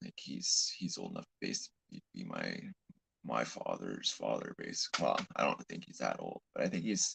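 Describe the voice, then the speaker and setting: A man with a Canadian accent talks at a moderate pace, his loudness swinging widely. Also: dry, close sound with no echo. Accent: Canadian, others remark on it. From Canada. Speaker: live streamer. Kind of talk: casual live stream chat. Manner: halting, repeats words.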